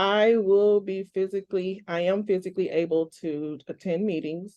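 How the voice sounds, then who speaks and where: A woman with an American accent talks at a moderate pace in a medium pitch, her intonation fairly even. Her tone is dark and mellow. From Ohio. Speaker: parent advocate, council candidate. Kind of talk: interview.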